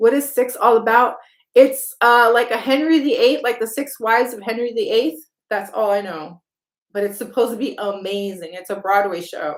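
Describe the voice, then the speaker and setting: The voice is loud, at a moderate pace with ordinary pitch variation. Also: woman. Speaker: travel vlogger. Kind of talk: livestream chat with viewers. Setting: livestream. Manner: casual, rambling with fillers.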